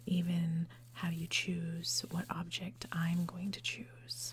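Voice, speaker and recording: Whispering and soft-spoken, the speaker talks at a very slow pace. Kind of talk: ASMR guessing game. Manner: soft-spoken, whispered.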